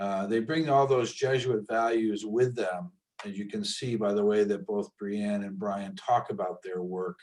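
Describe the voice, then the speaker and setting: At a fairly slow pace, a man with a plain, everyday voice speaks at a fairly low pitch with ordinary pitch variation. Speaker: school alumni event host. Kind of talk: webinar closing remarks. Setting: video call.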